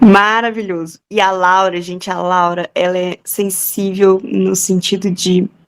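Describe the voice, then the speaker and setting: Fairly slow and fairly even in intonation, a woman speaks at a medium pitch in an unremarkable speaking voice. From Minas Gerais, Brazil. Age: 20s. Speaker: podcast co-host, pianist. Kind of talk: casual chat.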